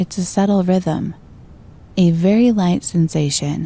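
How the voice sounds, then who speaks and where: Somewhat breathy and dark, mellow in tone, a woman speaks at a fairly slow pace and fairly low pitch with fairly even intonation. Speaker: voice-over artist. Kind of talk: guided meditation. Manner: soft-spoken, slow, calm.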